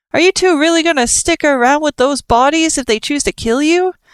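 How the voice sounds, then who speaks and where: This put-on character voice is high-pitched and whiny. It moves along at a fairly quick pace. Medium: read story. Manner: whiny, hesitant.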